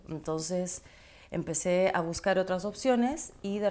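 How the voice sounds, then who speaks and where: A woman with a dark, mellow tone and a fairly low pitch speaks at a fairly slow pace with lively intonation. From Ecuador. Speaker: podcast host and nutrition coach. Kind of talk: personal storytelling monologue.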